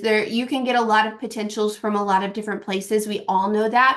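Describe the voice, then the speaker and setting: A woman's fairly high pitch with a slight Kentucky accent, fairly quick pace and fairly even intonation. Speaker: network marketing distributor. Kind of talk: team call talk. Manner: casual, filler-heavy.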